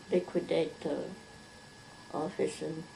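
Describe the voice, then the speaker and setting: A woman's fairly low voice at a very slow pace, with noticeable background noise. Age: 80s+. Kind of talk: interview answer.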